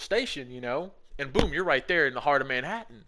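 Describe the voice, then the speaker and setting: Over a quiet background, a man talks at a very fast pace. His tone is animated, bright and sharp. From Alabama, US South. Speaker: gaming streamer. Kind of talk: casual chat.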